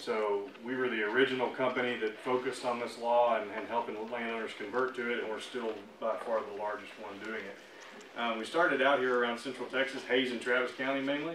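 A man's fairly quick speech with hardly any pauses and fairly even intonation, audible room echo and light background noise. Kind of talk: presentation to office staff. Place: meeting room. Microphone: camera far.

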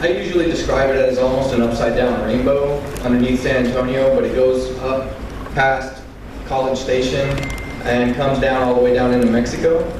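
Over noticeable background noise and strong room echo, a man talks at a fairly quick pace with very even loudness and a monotone, flat intonation. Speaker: presenter. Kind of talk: public presentation. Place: hall.

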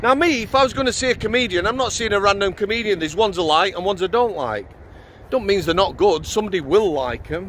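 With a Yorkshire accent, a man at a high pitch talks at a very fast pace with lively intonation, in a dry sound with no echo and light background noise. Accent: Sheffield Yorkshire English. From Yorkshire, Sheffield. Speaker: former prison officer, YouTuber; vlogger. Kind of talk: opinion monologue. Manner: animated. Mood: indignant, sarcastic. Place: open country. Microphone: lapel.

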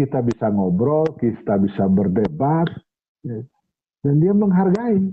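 This man talks at a fairly slow pace. His pitch swings very widely up and down. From Indonesia, Bekasi (West Java); West Java, Indonesia. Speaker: writer and historian; storyteller recalling a historic figure. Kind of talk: storytelling in a discussion. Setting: video call. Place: home room. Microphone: phone near.

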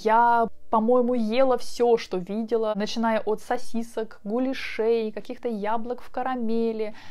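Against a quiet background, a woman speaks fairly slowly at a fairly high pitch. Her tone is dark and mellow, her intonation flat and monotone. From Siberia, Russia. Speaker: vlogger. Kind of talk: diary reading commentary. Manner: calm, relaxed. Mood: calm, reflective storytelling. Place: home room. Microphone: lapel.

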